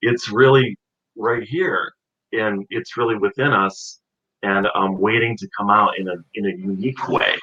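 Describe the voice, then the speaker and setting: A man talks in a plain, everyday voice at a moderate pace, with medium pitch and ordinary pitch variation. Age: 40s. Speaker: actor and author. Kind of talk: interview conversation.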